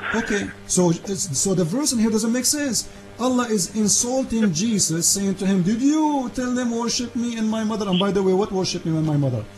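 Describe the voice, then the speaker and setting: With music in the background, a man with an Arabic accent and a high pitch talks at a fairly quick pace with lively intonation and hardly any pauses. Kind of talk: heated debate. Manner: animated.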